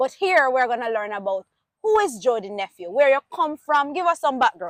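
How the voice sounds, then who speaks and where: A woman with a high pitch and a Jamaican accent speaks in an animated tone. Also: dry, close sound with no echo. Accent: Jamaican English with patois. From Jamaica, Trelawny parish. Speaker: talk show host. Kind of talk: interview.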